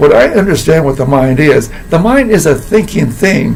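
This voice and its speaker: There is noticeable background noise as a man talks at a fairly slow pace. His voice is fairly high, and his pitch swings very widely. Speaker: philosophy teacher and coach. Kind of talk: casual talk to camera.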